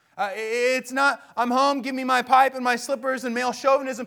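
Extremely high in pitch, a man uses a raised, projected voice on a very clean recording with a silent background. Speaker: pastor. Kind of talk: sermon. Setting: church. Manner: animated.

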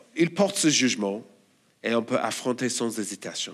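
Speaking at a fairly slow pace with an Australian accent, the voice makes very wide pitch swings in a very clean recording with a silent background. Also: man. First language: English (speaking French). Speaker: church elder and preacher. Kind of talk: sermon.

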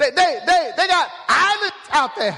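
Speaking in a raised, projected voice with an American accent, a man sounds animated at an extremely high pitch, with ordinary pitch variation over noticeable background noise. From Oklahoma. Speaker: guest pastor. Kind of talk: sermon. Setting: church. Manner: animated, emphatic preaching.

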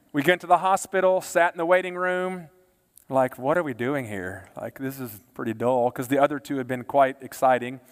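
A man with a Texan accent speaks at a fairly quick pace in a fairly high pitch. His intonation is lively, and his loudness swings widely. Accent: Texan American. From Texas, Baytown area. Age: 40s. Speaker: pastor. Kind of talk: sermon.

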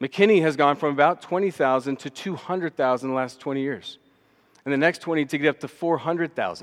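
Very fast speech in a Texan accent with ordinary pitch variation, on a very clean recording with a silent background and a dry, close sound with no echo. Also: man, fairly high pitch for a man. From Texas, Austin. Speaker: missions minister. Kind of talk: sermon. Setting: church.

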